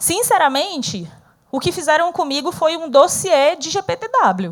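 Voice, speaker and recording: With a northeastern Brazilian accent, a woman speaks fairly slowly in an animated tone at an extremely high pitch, her pitch swinging very widely and her loudness shifting in big swings. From Northeast Brazil. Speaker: speaker, former corporate manager. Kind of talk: interactive talk to an audience.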